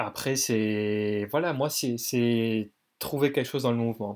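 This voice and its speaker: A man speaks at a medium pitch. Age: 20s. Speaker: dance student. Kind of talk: casual interview.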